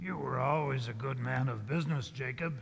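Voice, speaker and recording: A man's raspy, put-on character voice at a medium pitch, delivered at a fairly quick pace. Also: ordinary pitch variation. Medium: stage play.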